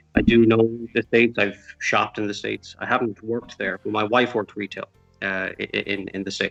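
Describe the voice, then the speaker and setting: Here a man with an Irish accent talks at a very fast pace and a medium pitch. The sound is dry and close, with no echo. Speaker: retail worker. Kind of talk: interview. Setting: live video call. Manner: halting.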